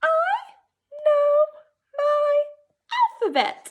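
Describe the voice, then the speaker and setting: Squeaky and extremely high, this is a put-on character voice. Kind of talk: high-pitched reading voice. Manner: reading a sentence aloud, teaching style.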